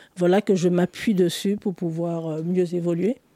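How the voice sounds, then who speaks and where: Recorded with a dry, close sound and no echo, a woman speaks at a fairly slow pace with a dark, mellow tone, fairly low pitch and fairly even intonation. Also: very clean recording, silent background. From Martinique. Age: 50s. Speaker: photographer and writer. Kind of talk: interview.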